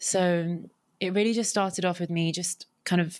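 Against a silent background on a very clean recording, a woman uses an ordinary speaking voice with a fairly low pitch and fairly even intonation. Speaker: podcaster and environmental science graduate. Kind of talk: interview conversation.

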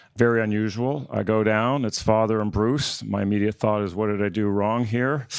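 A man with an ordinary speaking voice, fairly low in pitch, talks at a moderate pace with fairly even intonation on a very clean recording with a silent background. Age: 40s. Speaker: family business CEO. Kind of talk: panel discussion.

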